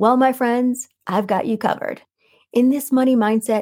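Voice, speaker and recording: A woman speaks at a moderate pace in a calm, soothing tone. The recording is very clean with a silent background and a dry, close sound with no echo. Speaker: podcast host and life coach. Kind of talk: solo podcast monologue on manifesting. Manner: calm, soothing delivery; warm, enthusiastic.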